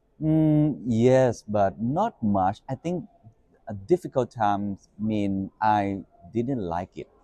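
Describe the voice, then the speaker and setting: Speaking at a very slow pace with a Thai accent, a man has a dark, mellow tone and medium pitch. His intonation is lively, and the sound is dry and close with no echo. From Thailand, Bangkok. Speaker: media executive and podcast host. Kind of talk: interview.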